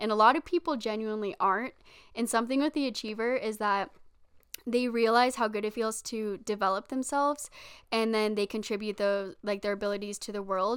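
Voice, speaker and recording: A woman's ordinary speaking voice, fairly high in pitch and fairly quick, with ordinary pitch variation on a very clean recording with a silent background. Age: 20s. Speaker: podcast co-host. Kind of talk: casual chat. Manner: laughs often.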